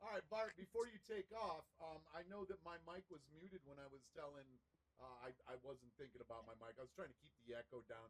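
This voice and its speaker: A man's somewhat breathy, fairly high voice with an American accent, big swings in loudness and very wide pitch swings. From United States. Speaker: crypto gaming project promoter. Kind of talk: live stream discussion.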